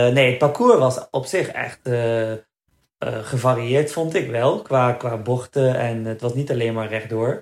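A man talks with a somewhat breathy voice and fairly even intonation. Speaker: marathon runner. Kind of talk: casual chat.

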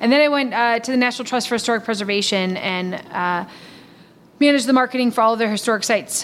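A woman speaks with an American accent at a fairly high pitch, with ordinary pitch variation. Noticeable background noise can be heard. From Milwaukee, Wisconsin. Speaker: historical society director. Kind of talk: interview.

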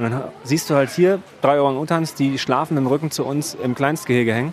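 Over noticeable background noise, a man talks at a fairly quick pace. His pitch is fairly high, with ordinary pitch variation. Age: 40s. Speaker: podcast host and research diver. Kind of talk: casual conversational interview on location. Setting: outdoors at a zoo.

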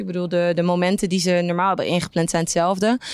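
Over noticeable background noise, a woman talks. Her pace is very fast. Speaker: entertainment news coordinator. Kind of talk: casual interview.

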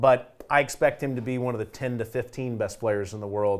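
This man has an unremarkable speaking voice, talking at a fairly quick pace with fairly even intonation. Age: 40s. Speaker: golf broadcaster. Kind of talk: casual panel discussion.

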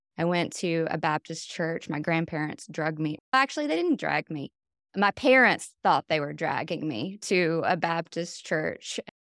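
A woman talks at a moderate pace with a fairly low pitch and a North Carolina accent. The recording is very clean, with a silent background and a dry, close sound with no echo. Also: ordinary pitch variation. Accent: Southern US (North Carolina). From US South, North Carolina. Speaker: meditation teacher. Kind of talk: dharma talk.

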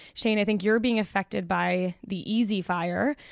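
Delivered in a normal speaking voice, the speech has fairly even intonation at a moderate pace. The sound is dry and close with no echo. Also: woman. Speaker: podcast host and editor. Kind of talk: podcast host discussion. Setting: studio in Los Angeles.

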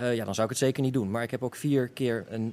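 A man talks at a fairly quick pace in a medium pitch. He has an ordinary speaking voice. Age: 20s. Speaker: kidney donor. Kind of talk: interview.

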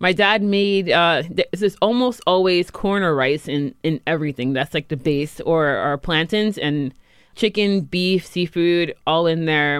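In an American accent, a woman with a normal speaking voice, fairly low in pitch with ordinary pitch variation, sounds dry and close with no echo on a very clean recording with a silent background. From New York. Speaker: head chef. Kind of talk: casual interview. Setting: studio.

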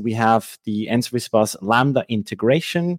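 Dry, close sound with no echo, in a Swiss German accent. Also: man. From Switzerland. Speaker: software engineer. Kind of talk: technical demo and interview. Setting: video call.

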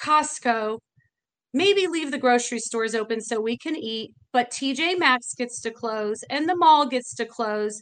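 A woman with an American accent speaks at a fairly slow pace, her high pitch showing ordinary variation. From Indiana. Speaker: bar owner. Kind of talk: interview.

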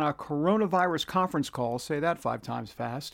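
In a very clean recording with a silent background, a man with a New York accent talks at a moderate pace with lively intonation. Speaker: podcast host. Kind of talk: casual podcast monologue. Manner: chatty, self-deprecating.

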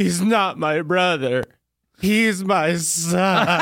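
A put-on character voice at middle pitch and a very slow pace. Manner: mock-dramatic, tearful.

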